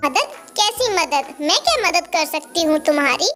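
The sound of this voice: A woman's squeaky, cartoonish character voice at an extremely high pitch, moderate in pace, with faint music in the background.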